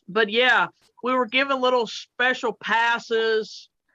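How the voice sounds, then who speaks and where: Against a quiet background, a woman with a bright, sharp tone and fairly high pitch speaks at a very slow pace in a dry, close sound with no echo. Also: long, frequent pauses. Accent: Southern US. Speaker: truck driver. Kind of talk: casual chat. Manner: halting, many fillers.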